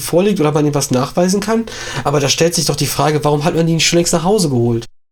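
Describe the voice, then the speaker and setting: Noticeable background noise accompanies a man whose high voice shows ordinary pitch variation. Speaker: podcast co-host. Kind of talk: casual political discussion.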